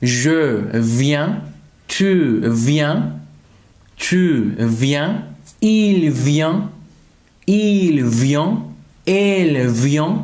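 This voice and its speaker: A man talks very slowly with long, frequent pauses. His fairly high pitch carries lively intonation over a quiet background. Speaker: French teacher. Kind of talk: tutorial. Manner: slow, repeated example sentences. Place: home room.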